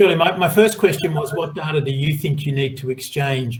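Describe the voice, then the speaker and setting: Fairly high in pitch, a man speaks in an Australian accent. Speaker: moderator. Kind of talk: panel discussion.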